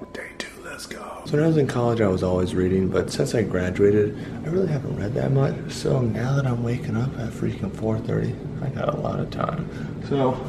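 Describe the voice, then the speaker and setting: A man speaks fairly quickly while noticeable background noise goes on. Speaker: vlogger. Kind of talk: casual vlog chat.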